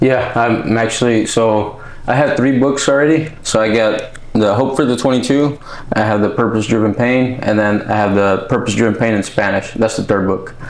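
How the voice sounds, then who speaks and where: Amid noticeable background noise and audible room echo, a man speaks at a moderate pace and medium pitch with fairly even intonation and very even loudness. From California Central Valley, also Mexicali. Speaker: author and military veteran. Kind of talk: podcast interview. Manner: casual, with many fillers.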